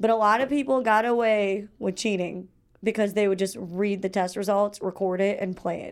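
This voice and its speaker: A very clean recording with a silent background captures a woman talking at a moderate pace. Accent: Chicago. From Chicago suburbs, Illinois. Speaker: student radio co-host. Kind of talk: casual chat. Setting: radio studio.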